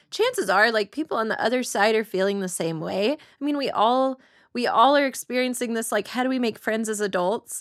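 A woman with an ordinary speaking voice, fairly high in pitch, with ordinary pitch variation at a fairly quick pace, in a dry, close sound with no echo. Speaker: writer and comedian. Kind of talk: panel discussion.

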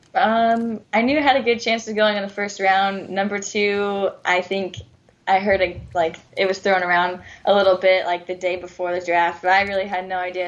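With an American accent and a plain, everyday voice, a woman speaks at a fairly quick pace. Her pitch is medium and her intonation fairly even. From Southern California and Arizona. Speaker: professional soccer player. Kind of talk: radio interview. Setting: phone call.

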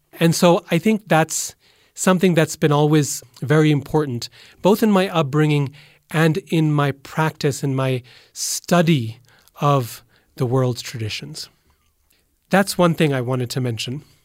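Speaking at a fairly slow pace with long, frequent pauses and ordinary pitch variation, the voice comes through in a very clean recording with a silent background and a dry, close sound with no echo. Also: man, fairly high pitch for a man. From Boise, Idaho, US. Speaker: professor of religion. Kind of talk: interview.

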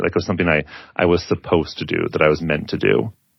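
At a very fast pace, a man talks in a very deep, low pitch. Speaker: author and podcaster. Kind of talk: casual interview, personal reflection.

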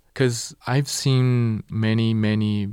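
A man with a Portuguese accent, fairly low-pitched, very slow, with fairly even intonation, on a very clean recording with a silent background. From Brazil, São Paulo state. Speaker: violinist and conductor. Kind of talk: interview. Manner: halting.

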